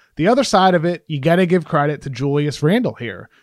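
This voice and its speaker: A man with a normal speaking voice, lively intonation, and a fairly quick pace on a very clean recording with a silent background. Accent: American. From Massachusetts (Brockton, south of Boston). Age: 30s. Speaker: sports writer. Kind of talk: casual interview chat.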